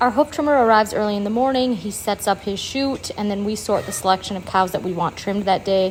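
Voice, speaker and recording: Talking very fast with an American accent, a woman uses a medium-pitched voice with ordinary pitch variation. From Wisconsin, USA. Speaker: dairy farmer, vlogger. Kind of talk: casual talk to camera. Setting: outdoors on a farm.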